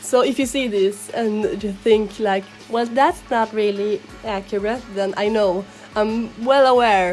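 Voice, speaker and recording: A woman with a strong non-native accent speaks at a fairly high pitch and a fairly slow pace. Her intonation is fairly even, with music in the background. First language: not English. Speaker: digital artist. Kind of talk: casual commentary over speedpaint.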